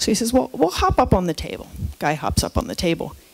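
A woman's medium-pitched voice with an American accent and lively intonation. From San Francisco, California. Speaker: geriatrician and professor of medicine; professor of medicine. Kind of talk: keynote lecture. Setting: lecture hall with live audience. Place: hall. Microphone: headset.

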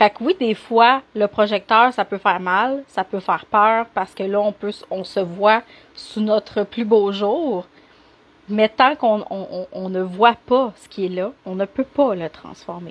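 A woman talks very slowly in a Quebec accent. Her loudness swings widely. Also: medium pitch for a woman, ordinary pitch variation. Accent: Québécois French. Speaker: life coach. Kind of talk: live stream coaching talk. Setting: live video stream. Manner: animated. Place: home room. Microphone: unstable wifi connection, cutting out; earbuds.

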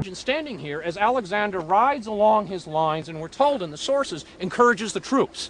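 Against noticeable background noise, a high-pitched man talks at a fairly quick pace with lively intonation and hardly any pauses. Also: big swings in loudness. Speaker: historian or professor. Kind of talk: documentary expert commentary. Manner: animated, conversational, energetic; hesitant, with frequent fillers.

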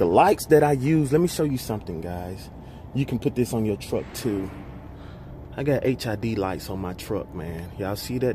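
A man at a fairly slow pace, dry with no echo, against noticeable background noise. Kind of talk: casual vlog chat. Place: garage. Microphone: phone near.

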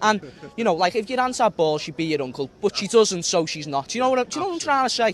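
With light background noise and a dry sound with no echo, a man in a Liverpool accent talks at a very fast pace in a high pitch with very wide pitch swings. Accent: Scouse. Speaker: fan interviewed on street. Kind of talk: casual conversation. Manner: emphatic. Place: stadium. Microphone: handheld.

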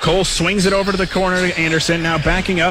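Over loud background noise, a man talks at a fairly quick pace with a dry sound and no echo. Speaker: radio sports broadcaster. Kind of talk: live radio play-by-play of a high school basketball game.

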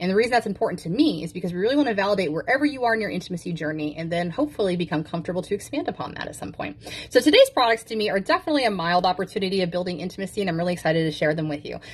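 A woman talks very fast with hardly any pauses. Her voice is somewhat breathy, and her intonation is lively. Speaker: intimacy coach. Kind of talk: product demo talk. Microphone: phone near.

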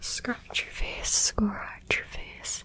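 Soft-spoken and whispering, a woman talks over light background noise. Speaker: ASMR creator. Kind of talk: soft ASMR roleplay talk. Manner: soft repetitive ASMR whisper. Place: home room.

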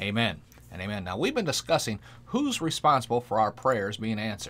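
A man speaks at a medium pitch and a moderate speed. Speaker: pastor. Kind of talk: sermon and prayer, devotional preaching. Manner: fervent, animated, preacherly with call-and-response 'Amen'. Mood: earnest, calm, preaching.

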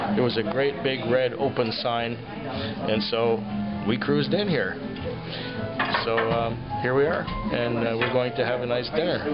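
Over loud music in the background, a man talks at a fairly slow pace with ordinary pitch variation and long, frequent pauses. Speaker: diner making a video review. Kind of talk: casual vlog chat. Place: cafe. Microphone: phone near.

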